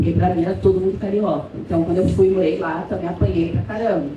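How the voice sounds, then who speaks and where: A woman with a São Paulo accent speaks with lively intonation. Noticeable background noise and audible room echo fill the recording. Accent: São Paulo (paulistano). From São Paulo city, Brazil. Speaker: professor. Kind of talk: academic panel talk.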